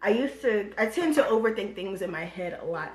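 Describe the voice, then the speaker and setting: Noticeable background noise sits behind this voice. A woman with an American accent talks at a medium pitch with lively intonation. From Virginia, USA. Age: 20s. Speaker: beauty YouTuber. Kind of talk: casual talk to camera.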